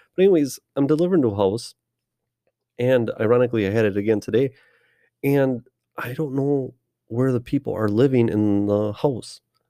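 A man speaks at a moderate pace in a dark, mellow tone, with long, frequent pauses. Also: ordinary pitch variation. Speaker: fantasy football podcast co-host. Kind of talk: casual chat. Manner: animated.

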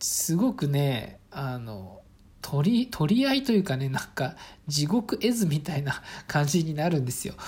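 A woman speaks at a fairly slow pace with a very deep, low pitch and very wide pitch swings. Her tone is dark and mellow, and somewhat breathy. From Saitama, Japan (rural town). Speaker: podcaster, office worker and father. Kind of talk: casual solo talk. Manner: relaxed, many fillers.

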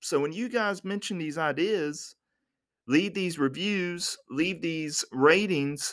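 A man with an American accent and a normal speaking voice talks at a fairly high pitch with lively intonation, in a very clean recording with a silent background. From United States. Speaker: podcast host. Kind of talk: solo podcast monologue.

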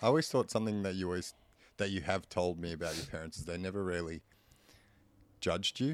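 A man with an Australian accent speaks at a very fast pace in a very deep, low voice, with ordinary pitch variation. He leaves long, frequent pauses, and the recording is very clean with a silent background. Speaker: podcast co-host. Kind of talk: casual chat.

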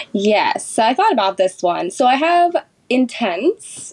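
A woman with an American accent, very slow pace and very wide pitch swings. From California, Sacramento. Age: 20s. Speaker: doula and mother. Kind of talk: interview, personal story.

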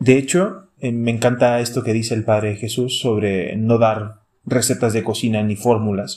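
In a plain, everyday voice of medium pitch, a man talks at a fairly slow pace with hardly any pauses and ordinary pitch variation, on a very clean recording with a silent background. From Chile, Santiago. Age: 30s. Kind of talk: casual chat.

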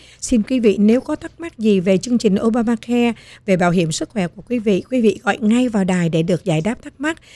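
A woman at a moderate pace, dark and mellow in tone. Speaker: radio host. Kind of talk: radio interview. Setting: radio studio.

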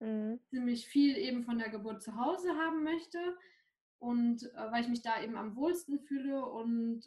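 With lively intonation, a woman speaks in a high pitch. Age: 20s. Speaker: new mother. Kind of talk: personal testimony.

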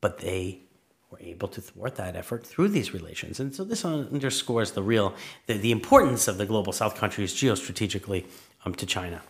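A man with a New York accent talks at a fairly quick pace and fairly low pitch, somewhat breathy. His loudness swings widely while his pitch varies in an ordinary way. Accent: New York area American. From New York suburbs, US. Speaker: political science professor. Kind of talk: interview.

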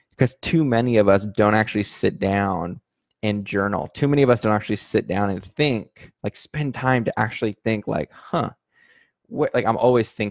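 A man speaks in a normal speaking voice at a moderate pace, with fairly low pitch and ordinary pitch variation. The recording is very clean with a silent background and a dry, close sound with no echo. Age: 30s. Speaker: podcast host and online sales coach. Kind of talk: motivational monologue. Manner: casual, with frequent fillers and repetitions.

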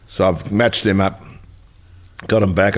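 Here a man speaks with an Australian accent. His pace is fairly quick. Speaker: former footballer. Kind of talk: casual interview.

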